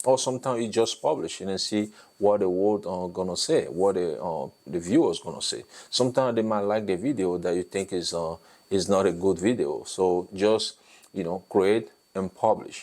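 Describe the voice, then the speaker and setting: A man speaks with a non-native accent at a fairly low pitch. His pitch variation is ordinary. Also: moderate pace, very clean recording, silent background. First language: French and an African language. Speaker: YouTube content creation coach. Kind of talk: tutorial. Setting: talking head video. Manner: hesitant, many fillers.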